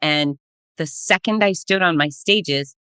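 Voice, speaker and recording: A woman's bright, sharp tone comes across animated, at a moderate pace with ordinary pitch variation. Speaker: race announcer and cancer survivor. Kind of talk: podcast interview. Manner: forceful.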